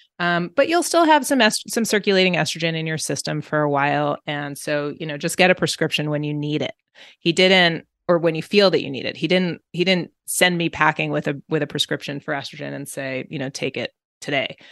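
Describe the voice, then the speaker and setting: The speaker has an American accent and moves at a fairly quick pace with ordinary pitch variation. The background is quiet. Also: woman, very deep, low pitch for a woman. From New York. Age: 40s. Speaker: entrepreneur. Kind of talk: interview. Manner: filler-heavy, halting.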